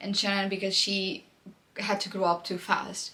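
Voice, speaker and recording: At a moderate pace, a woman talks in a medium-pitched voice with a non-native accent. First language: not English. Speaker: book vlogger. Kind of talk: casual monologue to camera. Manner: animated.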